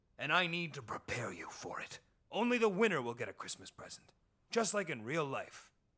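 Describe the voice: A man puts on a cartoonish character voice, fairly high in pitch with big pitch swings. His tone is bright and sharp, and his pace is fairly quick.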